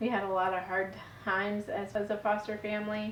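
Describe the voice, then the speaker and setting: A woman's medium-pitched voice comes with audible room echo. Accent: American. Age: 40s. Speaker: vlogger, stay-at-home mom. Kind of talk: personal vlog testimony. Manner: casual, conversational.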